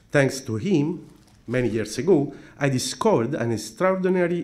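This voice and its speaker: A man speaks with a non-native accent and lively intonation. Audible room echo surrounds his voice. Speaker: philosophy scholar. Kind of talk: conference talk. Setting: conference. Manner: formal.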